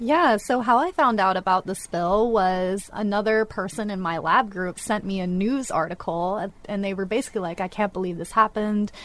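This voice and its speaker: A woman with an American accent and an unremarkable speaking voice, medium in pitch with ordinary variation, at a moderate pace with hardly any pauses. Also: very clean recording, silent background. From northwest Florida, Gulf Coast. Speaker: PhD marine researcher. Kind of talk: casual radio interview. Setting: studio.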